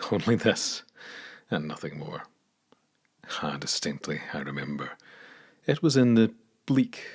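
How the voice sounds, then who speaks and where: A man with a Scottish accent. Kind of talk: poetry reading. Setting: studio.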